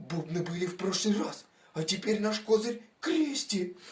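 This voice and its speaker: A put-on character voice sits at a middle pitch and moves at a moderate pace. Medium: audio drama. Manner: grumbling, argumentative.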